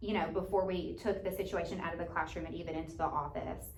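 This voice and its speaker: With noticeable background noise and audible room echo, a woman speaks fairly quickly in a fairly low pitch with fairly even intonation. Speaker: teaching job candidate. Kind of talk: job interview. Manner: loud.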